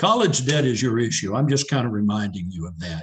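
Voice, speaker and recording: His voice is somewhat breathy. This man's pitch swings very widely as he talks. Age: 70s. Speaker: education researcher. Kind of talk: webinar discussion. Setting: online webinar. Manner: hesitant, with fillers.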